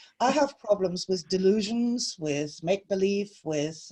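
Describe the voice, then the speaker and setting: A woman with a German accent speaks at a fairly slow pace in a somewhat breathy voice with a dark, mellow tone, medium pitch and very wide pitch swings. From Germany. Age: 60s. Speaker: spiritual author and teacher. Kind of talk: interview.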